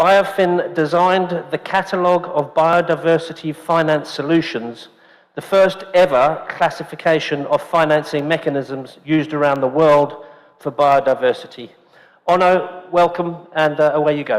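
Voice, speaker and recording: Over noticeable background noise, a man with a British accent speaks at a moderate pace, his pitch fairly high and his intonation fairly even. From UK. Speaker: event host, forum co-founder. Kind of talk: event introduction.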